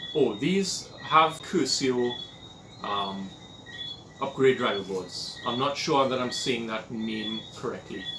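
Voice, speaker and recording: Speaking very slowly with a Trinidadian accent and lively intonation, a man is heard over noticeable background noise and audible room echo. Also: medium pitch for a man. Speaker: hobbyist electronics restorer. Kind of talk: tutorial. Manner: casual, hesitant with fillers.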